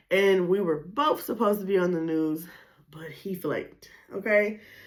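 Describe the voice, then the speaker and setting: A woman with an American accent talks at a moderate pace in an animated tone. Her pitch is medium, with ordinary variation. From Flint, Michigan, US. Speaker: podcast host. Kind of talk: casual solo podcast monologue.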